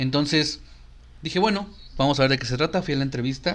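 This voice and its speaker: In a Mexican accent, a man speaks at a fairly quick pace. His fairly high voice has ordinary pitch variation. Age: young. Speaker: podcast co-host, recruiter. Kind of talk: casual chat. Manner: loud.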